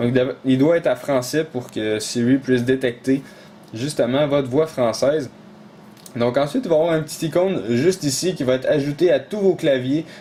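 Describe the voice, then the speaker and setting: Fairly high male voice with ordinary pitch variation, delivered at a moderate pace. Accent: Quebec. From Quebec. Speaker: tech tutorial YouTuber. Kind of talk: tutorial. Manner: hesitant, many fillers.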